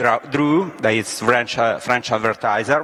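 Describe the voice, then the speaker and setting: Ordinary pitch variation in a man's speech, with noticeable background noise behind it. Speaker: panelist, advertising creative director. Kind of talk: panel talk.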